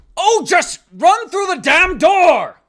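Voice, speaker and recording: A put-on character voice at an extremely high pitch, on a very clean recording with a silent background. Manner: gruff, urgent.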